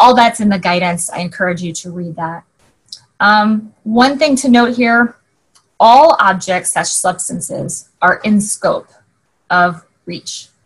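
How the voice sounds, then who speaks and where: At a fairly slow pace, a woman speaks in a somewhat breathy voice with a fairly high pitch, lively intonation and big swings in loudness. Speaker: regulatory affairs manager, conference speaker. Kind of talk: keynote presentation. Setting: virtual summit via video call. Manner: hesitant fillers.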